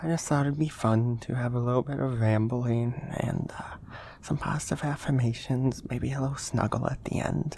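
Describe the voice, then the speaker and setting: A soft-spoken man at a moderate pace amid noticeable background noise. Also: medium pitch for a man, ordinary pitch variation. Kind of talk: ASMR soft-spoken rambling and affirmations.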